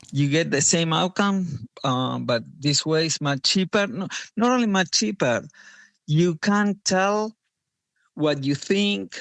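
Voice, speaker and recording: A man with a non-native accent speaks very slowly at a fairly high pitch. His voice moves in very wide pitch swings. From Argentina. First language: Spanish. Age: 50s. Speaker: parent in a family court case. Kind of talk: podcast interview. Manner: hesitant, with fillers.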